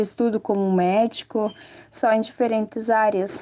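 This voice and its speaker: A dark, mellow tone delivered in a flat monotone at a fairly slow pace. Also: woman. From far west of Santa Catarina, Brazil. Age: 20s. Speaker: young farmer. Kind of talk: interview testimony.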